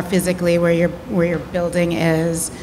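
Noticeable background noise sits behind the voice. A woman speaks at a fairly low pitch. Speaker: curator and moderator; moderator. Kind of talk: panel discussion. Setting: stage with audience. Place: hall. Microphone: handheld.

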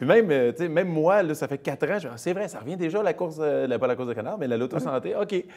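A man talks at a very fast pace with hardly any pauses. His pitch is fairly high for a man, and his intonation is lively. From Quebec, Saint-Jean-sur-Richelieu; Quebec. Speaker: comedian and charity spokesperson; comedian, charity spokesperson. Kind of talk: casual interview. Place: studio.

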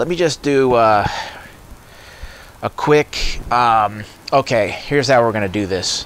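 Recorded dry with no echo and light background noise. The man talks with ordinary pitch variation. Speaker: product reviewer. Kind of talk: tutorial. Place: garden. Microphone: lapel.

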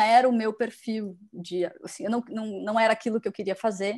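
Female speaker, fairly high pitch, ordinary pitch variation. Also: quiet background. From Curitiba, Paraná, Brazil. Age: 30s. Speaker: curator and museum director. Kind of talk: interview conversation. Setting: video call. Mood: relaxed, reflective storytelling. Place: home room. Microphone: earbuds.

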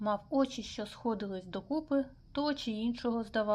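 Someone does plain reading aloud here. Their pitch shifts about as much as usual.

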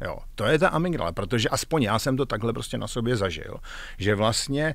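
With lively intonation, the voice comes through as a dry sound with no echo. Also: man. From Czechia. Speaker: executive coach, former tech manager; executive coach. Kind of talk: interview. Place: studio. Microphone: studio mic.

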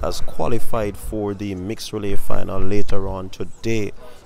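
Faint music plays behind a man whose voice has ordinary pitch variation. The sound is dry, with no echo. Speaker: track fan commentator. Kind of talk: casual vlog commentary. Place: street.

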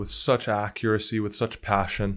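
A man with an enthusiastic tone and fairly low pitch, against a quiet background. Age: 20s. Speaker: interviewer. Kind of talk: interview. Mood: warm, admiring. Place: studio. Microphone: studio mic.

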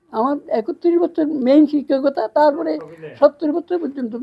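The woman's voice sits at a high pitch. Her intonation is lively. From Bangladesh, Lakshmipur district. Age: 80s+. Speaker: retired teacher. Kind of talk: interview.

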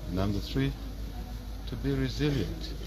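A man at a fairly slow pace, with ordinary pitch variation, over noticeable background noise. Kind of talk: press statement on a death, tribute. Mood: somber, mourning tribute. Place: garden. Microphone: handheld.

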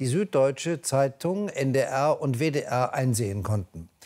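With a quiet background, a man with an ordinary speaking voice talks at a moderate pace in a fairly high pitch and lively intonation. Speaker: news anchor and chief presenter. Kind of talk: TV news bulletin read. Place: studio.

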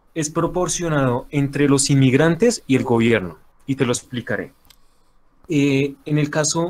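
With a fairly high pitch, a man talks using ordinary pitch variation. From Colombia. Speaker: anonymous debate opponent. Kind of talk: heated debate. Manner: halting; formal.

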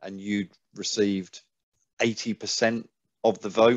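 Against a quiet background, a man speaks at a fairly low pitch in a monotone, flat intonation, the sound dry with no echo. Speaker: sports podcast host. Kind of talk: casual interview. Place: home room. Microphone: headset.

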